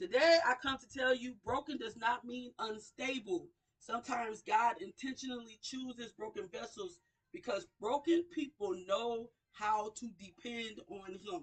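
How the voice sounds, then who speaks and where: A woman's high, animated voice with lively intonation, big swings in loudness and a fairly slow pace. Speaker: radio show host. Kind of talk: inspirational talk. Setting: livestream.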